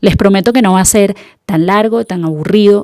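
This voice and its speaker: A woman speaks with a Venezuelan accent in a dark, mellow tone. Her pitch varies in an ordinary way, and the sound is dry and close with no echo. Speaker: podcast host. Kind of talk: podcast monologue.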